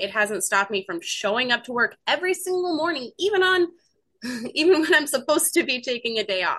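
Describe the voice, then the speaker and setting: This woman talks at a very fast pace in a high pitch, her voice raised and projected. Her pitch swings very widely. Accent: American. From US Pacific Northwest. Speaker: recovering alcoholic, crochet artist. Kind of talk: interview, recovery story.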